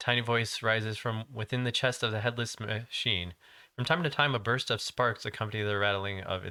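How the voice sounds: Fairly even intonation shapes a natural reading voice here.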